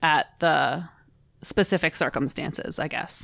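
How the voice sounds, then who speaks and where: With a normal speaking voice and an American accent, a woman speaks at a fairly slow pace and fairly low pitch with ordinary pitch variation, on a very clean recording with a silent background. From Pittsburgh, US. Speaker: subreddit moderator, podcast co-host. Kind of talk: casual chat.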